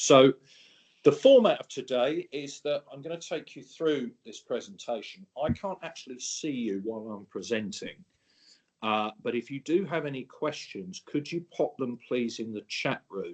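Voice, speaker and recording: A man talks at a moderate pace with lively intonation. His loudness swings widely. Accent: English. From England. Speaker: presenter on geopolitical risk for insurance brokers. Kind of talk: webinar presentation.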